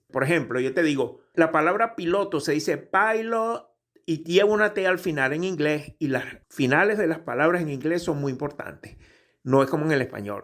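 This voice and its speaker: A man's normal speaking voice, fairly high in pitch, with lively intonation at a moderate pace on a very clean recording with a silent background. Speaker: pilot and aviation English teacher. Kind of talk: tutorial; sales pitch. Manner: casual, conversational.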